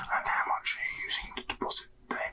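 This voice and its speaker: Whispering, a man goes at a very fast pace. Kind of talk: role-play customer service talk. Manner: soft ASMR roleplay voice. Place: home room. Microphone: webcam.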